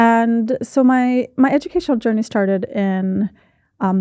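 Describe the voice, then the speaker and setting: In a dry, close recording with no echo and a quiet background, a woman with an American accent speaks fairly slowly in a dark, mellow tone, her fairly high pitch showing ordinary variation. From United States. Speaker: education lecturer and researcher. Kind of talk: podcast interview.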